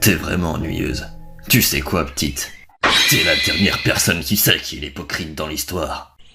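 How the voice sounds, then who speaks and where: A man uses a put-on character voice, very deep and raspy, at a moderate pace. Faint music plays in the background. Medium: dub. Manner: laid-back, drowsy.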